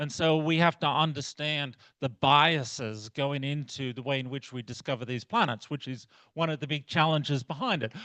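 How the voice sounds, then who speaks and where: A man speaks with an Australian accent at a moderate pace. His tone is bright and sharp. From outback Australia. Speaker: astronomy researcher. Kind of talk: lecture. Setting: club meeting talk.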